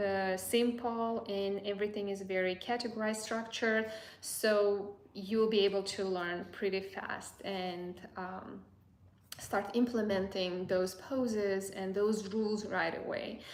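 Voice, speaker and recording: A woman's medium-pitched voice at a fairly slow pace, with monotone, flat intonation and audible room echo. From Azerbaijan. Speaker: boudoir photographer and educator. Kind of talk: live stream Q&A. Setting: live stream. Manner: halting, many fillers and repeats.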